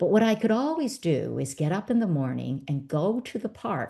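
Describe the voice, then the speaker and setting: The voice has a dark, mellow tone, somewhat breathy, with very wide pitch swings at a moderate pace. The background is quiet. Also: woman. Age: 60s. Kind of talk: interview answer. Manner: lively.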